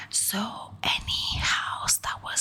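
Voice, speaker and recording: Someone is whispering at a very slow pace. There is noticeable background noise. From Quebec, Canada. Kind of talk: ASMR whisper ramble, casual talk to camera. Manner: whispered, soft-spoken.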